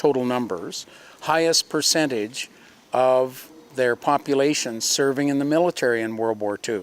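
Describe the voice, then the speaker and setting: A man speaks at a fairly slow pace with ordinary pitch variation. He has an unremarkable speaking voice. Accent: Canadian. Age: 60s. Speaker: museum program co-host. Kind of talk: casual interview chat. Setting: in a museum.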